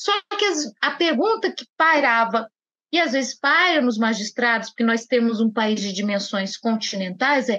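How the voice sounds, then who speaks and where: A woman's raised, projected voice, bright and sharp in tone, with very wide pitch swings. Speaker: judge. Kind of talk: podcast interview.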